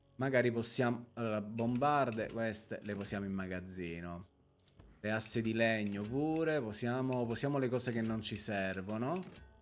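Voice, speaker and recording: Medium-pitched male speech at a moderate pace, with ordinary pitch variation and faint music in the background. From Sicily, Palermo; Sicily. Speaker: streamer. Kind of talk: live gameplay stream chat. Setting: live stream. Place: home room. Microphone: studio mic.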